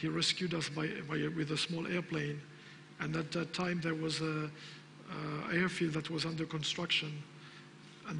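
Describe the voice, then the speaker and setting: There is noticeable background noise behind this man. His fairly high voice stays monotone and flat. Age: 50s. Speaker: business owner. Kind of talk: conference talk. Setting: stage with audience. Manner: halting.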